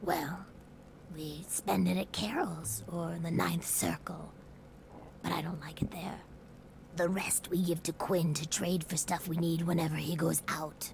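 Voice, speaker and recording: In a put-on character voice, a female-sounding voice with fairly low pitch moves at a moderate pace, broken by long, frequent pauses. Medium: video game. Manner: friendly, eager to please.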